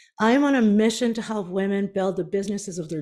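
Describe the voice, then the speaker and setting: A woman with a Canadian accent uses a normal speaking voice at a fairly high pitch. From Canada, Prince Edward Island. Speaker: business strategist and author. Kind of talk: keynote talk.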